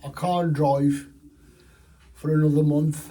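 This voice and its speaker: A man's somewhat breathy, dark, mellow voice, fairly high in pitch, very slow and flat in intonation, with audible room echo. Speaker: fishing vlogger. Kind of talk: personal health update vlog. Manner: slurred, halting speech.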